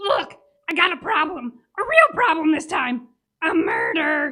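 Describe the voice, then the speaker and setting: A raspy put-on character voice at an extremely high pitch and a moderate pace. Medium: audio drama. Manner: wheedling.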